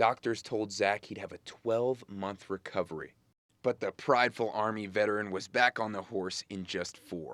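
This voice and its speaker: A man with an ordinary speaking voice and fairly low pitch speaks at a moderate pace with fairly even intonation, on a very clean recording with a silent background and a dry, close sound with no echo. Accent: American. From New York suburbs. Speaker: TV news reporter and anchor. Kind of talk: TV news feature voiceover.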